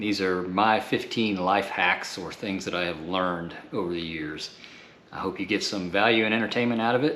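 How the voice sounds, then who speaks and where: This man has a plain, everyday voice. It sits fairly low and shows ordinary pitch variation. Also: moderate pace. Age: 60s. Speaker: YouTube host. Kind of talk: casual talk to camera.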